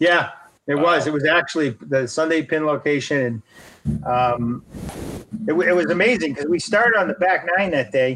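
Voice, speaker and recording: A man's normal speaking voice, fairly high in pitch, with lively intonation at a moderate pace. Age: 60s. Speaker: golf professional and former PGA official. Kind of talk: casual interview, storytelling. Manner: conversational, uses many fillers.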